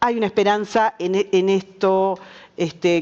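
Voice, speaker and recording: A woman speaks in a flat, monotone way. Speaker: journalist, panelist. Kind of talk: panel discussion.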